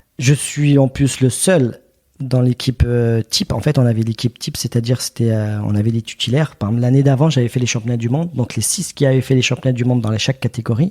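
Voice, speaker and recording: Speaking at a very fast pace, a man has a somewhat breathy, dark, mellow voice at medium pitch with ordinary pitch variation, in a dry, close sound with no echo. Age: 30s. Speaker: retired wrestler. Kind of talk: podcast interview. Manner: halting.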